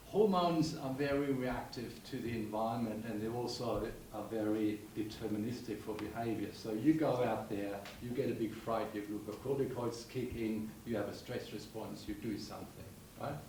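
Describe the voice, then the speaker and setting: The speech moves at a moderate pace with fairly even intonation, with audible room echo and noticeable background noise. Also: man, medium pitch for a man. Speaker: audience member asking questions. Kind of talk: panel discussion Q&A. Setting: symposium hall with microphone. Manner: loud.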